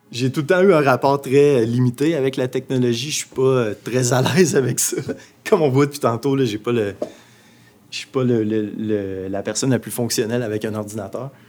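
A man speaks at a moderate pace with medium pitch and ordinary pitch variation. Noticeable background noise can be heard. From Abitibi-Témiscamingue, Quebec. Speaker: visual artist. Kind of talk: interview. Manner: halting, many fillers.

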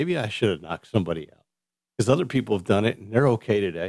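The sound is dry and close, with no echo. A man speaks at a very fast pace in a fairly low pitch. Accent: American. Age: 50s. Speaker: podcast host. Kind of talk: casual solo monologue. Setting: home studio.

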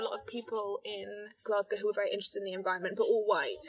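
A woman's very fast speech comes through noticeable background noise. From London, England. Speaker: artist and writer. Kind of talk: casual chat. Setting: outdoors.

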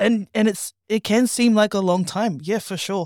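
The recording is very clean, with a silent background. A woman speaks at medium pitch and a moderate pace, with ordinary pitch variation. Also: dry, close sound with no echo. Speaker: guest on Bible commentary. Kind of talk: casual conversation on faith.

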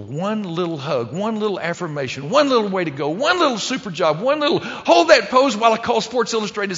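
Very fast and full of very wide pitch swings, the voice has vocal fry and a Texan accent. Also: man. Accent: Texan Southern US. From Texas. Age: 60s. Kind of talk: sermon.

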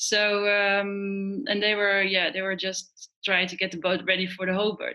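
A woman's medium-pitched voice, fairly slow and monotone, with flat intonation. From Netherlands. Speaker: professional sailor, Olympian. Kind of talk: interview. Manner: halting, many fillers.

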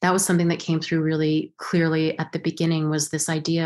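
In an American accent, a woman speaks at a fairly low pitch with monotone, flat intonation. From US Southwest, Los Alamos, New Mexico. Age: 40s. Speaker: actress. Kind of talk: interview. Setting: video call.

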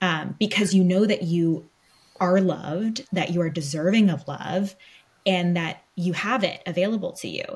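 An American woman with a normal speaking voice talks at a moderate pace, her medium pitch showing ordinary pitch variation. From US West Coast, Los Angeles. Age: 20s. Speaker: podcast co-host, medium. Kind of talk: casual chat.

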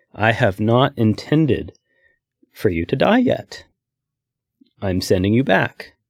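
A loud, booming, put-on character voice from a man at medium pitch, delivered at a fairly slow pace with long, frequent pauses

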